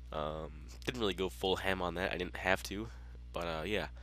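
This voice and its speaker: A man with vocal fry and a bright, sharp tone speaks at a moderate pace. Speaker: gaming YouTuber. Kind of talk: game tutorial walkthrough. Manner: casual with frequent fillers.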